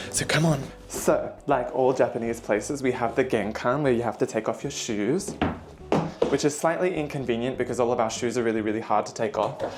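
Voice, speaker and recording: A man with an Australian accent talks quietly at a fairly quick pace over noticeable background noise. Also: medium pitch for a man, ordinary pitch variation. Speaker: vlogger. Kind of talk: vlog apartment tour. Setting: indoors at home apartment. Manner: quiet to avoid disturbing neighbours; casual, filler-heavy.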